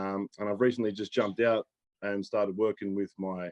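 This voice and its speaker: A man speaks with an Australian accent. His intonation is flat and monotone. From Australia, New South Wales. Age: 20s. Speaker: pro bodybuilder. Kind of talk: casual chat.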